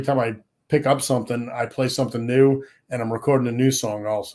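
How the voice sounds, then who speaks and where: Speaking at a fairly quick pace with an American accent, a man has an unremarkable speaking voice, medium in pitch, with fairly even intonation. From Rhode Island, US (Pawtucket). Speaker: luthier and songwriter. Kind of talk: casual interview chat.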